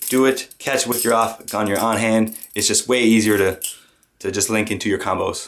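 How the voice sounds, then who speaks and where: A man is speaking. Music plays in the background. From French Canadian. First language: French. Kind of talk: casual tutorial talk to camera.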